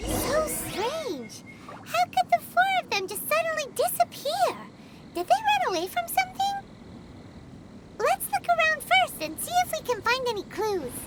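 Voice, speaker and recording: A squeaky, put-on character voice at an extremely high pitch moves at a moderate pace over light background noise. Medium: video game. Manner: excitable, inquisitive.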